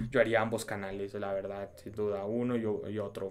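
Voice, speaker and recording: At a moderate pace, a man speaks in an unremarkable speaking voice with fairly even intonation. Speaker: YouTuber. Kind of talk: casual chat.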